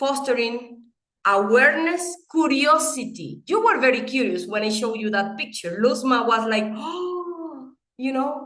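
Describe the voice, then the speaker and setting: A woman speaks in a Venezuelan accent with a high pitch and a bright, sharp, animated tone. Her intonation is lively, and her pace is fairly slow. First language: Spanish. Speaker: English teaching educator and presenter. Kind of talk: webinar presentation. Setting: online webinar.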